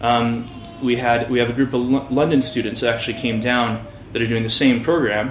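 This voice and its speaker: Speaking quickly in an American accent, a man with a medium pitch delivers his words in a flat monotone, with audible room echo and noticeable background noise. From US West Coast, Orange County, Los Angeles. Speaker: fitness business owner. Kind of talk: interview. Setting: local TV interview. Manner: halting, many repetitions and fillers.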